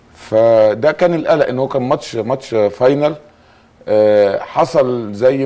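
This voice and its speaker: This man's voice has a dark, mellow tone, a medium pitch and ordinary pitch variation. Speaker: handball coach. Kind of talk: interview.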